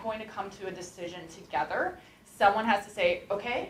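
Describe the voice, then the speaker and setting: Noticeable background noise sits behind a woman speaking at a medium pitch. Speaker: startup talk speaker from a coding school. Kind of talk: talk to a class with Q&A. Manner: fast.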